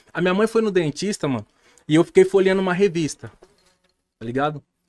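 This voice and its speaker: Very fast, high-pitched speech from a man, with ordinary pitch variation. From Brazil. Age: 30s. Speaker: podcast guest. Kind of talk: casual chat. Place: studio. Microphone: studio mic.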